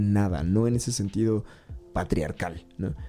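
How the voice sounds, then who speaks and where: Man with a Mexican accent, fairly low-pitched and fairly quick, with ordinary pitch variation over noticeable background noise. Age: 30s. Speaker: podcast host. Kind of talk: personal monologue. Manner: halting, with repetitions.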